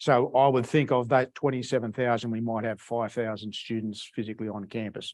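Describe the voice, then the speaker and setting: Monotone, flat delivery at a fairly quick pace with hardly any pauses, on a very clean recording with a silent background. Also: man, medium pitch for a man. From Australia. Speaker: agricultural engineering researcher. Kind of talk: lecture. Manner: halting, many repetitions and fillers.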